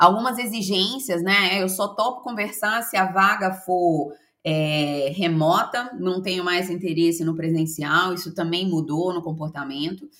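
The tone is bright and sharp, the pace fairly slow, the pitch variation ordinary, and there are hardly any pauses. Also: woman, medium pitch for a woman. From Brazil, Minas Gerais (Belo Horizonte). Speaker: HR consultant and mentor. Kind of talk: podcast interview.

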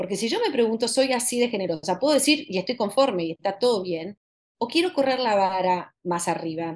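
With lively intonation, a woman at medium pitch speaks in an unremarkable speaking voice. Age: 50s. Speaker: author and consultant. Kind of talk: interview.

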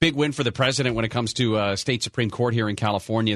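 A man talks in a plain, everyday voice. The sound is dry and close with no echo, over a quiet background. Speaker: radio host. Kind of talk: talk radio show. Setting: studio.

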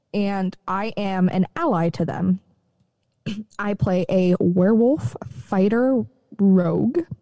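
A woman speaks very slowly at medium pitch, dark and mellow in tone, with lively intonation. Long, frequent pauses break up her speech, and the sound is dry and close with no echo. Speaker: podcast co-host. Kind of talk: casual chat. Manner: a little higher and sweeter, smooth.

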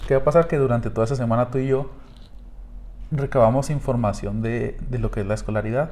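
A man talks at a very fast pace with a dark, mellow tone. His pitch is medium and his intonation fairly even. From Mexico. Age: 20s. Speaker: podcast host. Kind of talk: casual chat.

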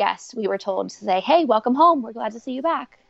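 A woman with a Midwestern American accent. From Cincinnati, Ohio, US Midwest. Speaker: former theme park employee. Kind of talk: interview.

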